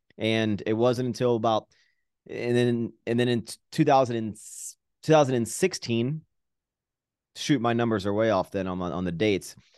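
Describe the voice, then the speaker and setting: A man with a normal speaking voice talks in an American accent at a moderate pace. His pitch is medium with ordinary variation, over a quiet background. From Virginia, US. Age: 30s. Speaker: fitness YouTuber and entrepreneur. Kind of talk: casual interview chat. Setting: remote video call.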